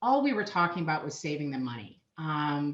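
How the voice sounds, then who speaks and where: This woman's pitch swings very widely as she talks at a moderate pace. She has a Minnesotan accent. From Minnesota, US. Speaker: payment solutions sales manager. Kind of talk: podcast interview.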